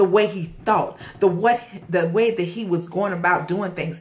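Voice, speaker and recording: At a moderate pace, a woman talks in a plain, everyday voice of medium pitch. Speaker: motivational vlogger. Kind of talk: motivational monologue.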